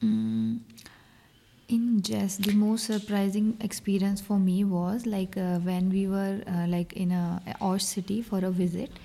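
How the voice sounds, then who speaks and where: A woman's somewhat breathy voice, dark and mellow in tone, holds a very even loudness at a fairly slow pace. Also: medium pitch for a woman, fairly even intonation. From North India. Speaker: exchange student. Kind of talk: interview. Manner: halting.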